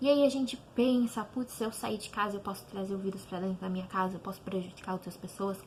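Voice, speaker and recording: A woman talks at a very fast pace with hardly any pauses. Her pitch is medium, with ordinary pitch variation. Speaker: teacher. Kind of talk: online class talk to students. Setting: home, online video lesson.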